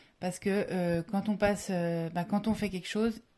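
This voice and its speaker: A woman speaks at a moderate pace and medium pitch with fairly even intonation, on a very clean recording with a silent background. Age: 20s. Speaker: former biathlete and ski instructor. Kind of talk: interview.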